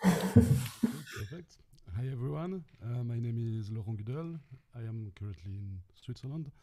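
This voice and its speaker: Speaking at a fairly slow pace, a man keeps a medium pitch with lively intonation. His loudness swings widely. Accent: French. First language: French. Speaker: experimental electronic musician and sound artist. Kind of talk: self-introduction on a panel. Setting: video call from home studio.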